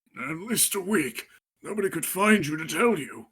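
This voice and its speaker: In a put-on character voice, a man talks at a moderate pace with a raspy, high-pitched sound and lively intonation. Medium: read story.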